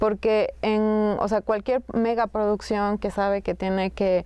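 This woman's voice has a dry sound with no echo. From Sierra Norte of Oaxaca, Mexico (Zapotec community); Oaxaca, Mexico. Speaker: filmmaker; guest. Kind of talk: casual conversation. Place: hall.

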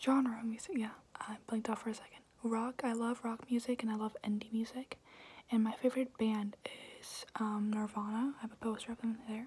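Whispering from a woman at a moderate pace. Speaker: ASMR creator. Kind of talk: ASMR Q&A talk to camera. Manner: whispered. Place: home room. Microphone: phone near.

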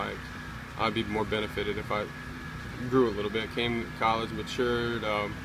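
Noticeable background noise sits behind a man talking at a fairly quick pace, the sound dry with no echo. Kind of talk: interview answer. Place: stadium. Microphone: phone near.

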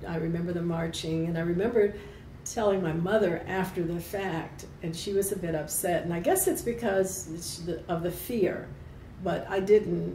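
A woman with an American accent speaks at a fairly low pitch, her intonation fairly even and broken by long, frequent pauses. Audible room echo and light background noise sit behind her. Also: moderate pace. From US South (Kentucky, Appalachia). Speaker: retired airline worker and union member. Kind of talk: oral history interview. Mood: warm, smiling. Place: office.

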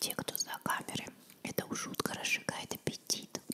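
A woman whispers at a moderate pace. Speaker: ASMR video creator. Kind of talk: casual talk to camera. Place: home room. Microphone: studio mic.

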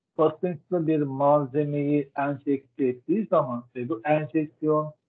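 A man is speaking. His pace is very slow. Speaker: professor. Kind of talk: lecture. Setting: video call. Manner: halting. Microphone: video call.

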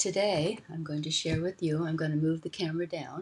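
A woman's voice, somewhat breathy and very deep and low, keeps a fairly even intonation. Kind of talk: casual vlog chat. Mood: cheerful, playful. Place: home room. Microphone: webcam.

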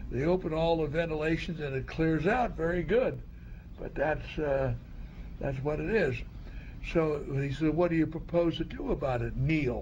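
In a normal speaking voice, a man with a fairly high pitch talks at a moderate pace with ordinary pitch variation. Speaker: Coast Guard veteran. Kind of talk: oral history interview.

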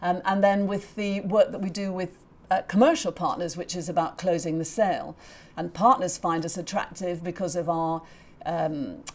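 Her pace is moderate, and this woman's pitch moves in an ordinary way. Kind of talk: interview answer. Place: office. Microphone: lapel.

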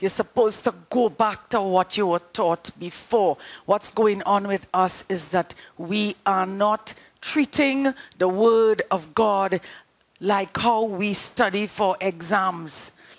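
Her pace very slow, a woman speaks with ordinary pitch variation. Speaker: preacher. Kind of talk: sermon. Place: studio. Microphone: headset.

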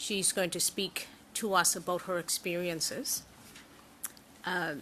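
Over noticeable background noise, a woman speaks fairly slowly in a fairly low voice with fairly even intonation. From Nova Scotia, Canada. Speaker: senator, committee chair. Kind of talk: formal hearing chairing. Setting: committee hearing room. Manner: formal.

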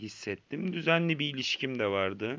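A man at medium pitch talks with lively intonation. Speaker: vlogger sharing addiction story. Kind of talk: personal testimony monologue. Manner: hesitant, many filler sounds.

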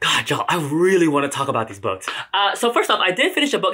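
A man's bright, sharp tone with very wide pitch swings over a quiet background. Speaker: book vlogger. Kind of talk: casual vlog chat. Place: home room. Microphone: camera far.

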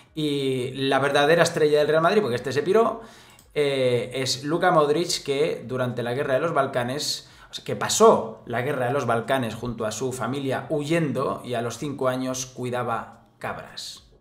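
A man speaks at a medium pitch and a fairly slow pace, with hardly any pauses. His tone is animated, with ordinary pitch variation. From Spain. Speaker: football commentator youtuber. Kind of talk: casual commentary to camera, sports news. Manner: animated, sarcastic, informal. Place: home room.

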